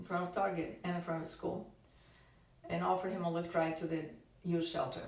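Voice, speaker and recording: A woman's fairly low voice in a Russian accent, with audible room echo and noticeable background noise. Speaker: activist. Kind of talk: testimony. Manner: halting.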